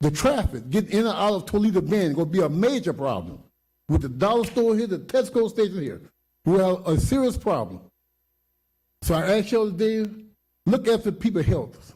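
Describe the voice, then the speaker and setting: A man talks at a high pitch with lively intonation and a dark, mellow tone. Long, frequent pauses break up his speech. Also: fairly quick pace. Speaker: resident speaking at public hearing. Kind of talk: public comment at meeting. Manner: fast; animated.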